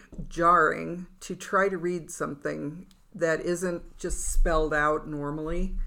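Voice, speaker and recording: A woman's bright, sharp tone at a fairly low pitch and a very slow pace. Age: 60s. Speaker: writers' podcast co-host. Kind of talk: casual chat. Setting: studio.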